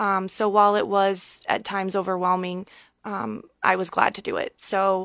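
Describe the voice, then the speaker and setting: The speaker has a Midwestern American accent and talks at a fairly slow pace in monotone, flat intonation. The recording is very clean with a silent background. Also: woman, medium pitch for a woman. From Nebraska. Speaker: state senator. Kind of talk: radio interview.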